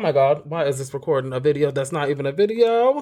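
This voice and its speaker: Loud and animated, a man talks at a very fast pace. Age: 30s. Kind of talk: casual chat, comedic banter. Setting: live video stream. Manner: loud, animated.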